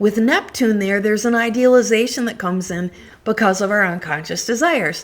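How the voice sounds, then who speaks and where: Using an unremarkable speaking voice, a woman talks at a moderate pace with ordinary pitch variation. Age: 60s. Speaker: astrologer. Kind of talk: casual monologue on astrology. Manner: chatty, frequent fillers.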